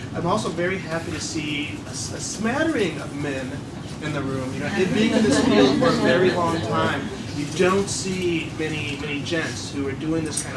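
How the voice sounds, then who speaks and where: A man speaks at a moderate pace with ordinary pitch variation. Audible room echo and noticeable background noise fill the recording. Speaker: pediatrician and public health official. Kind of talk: public speech. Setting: public hearing room with audience. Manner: halting.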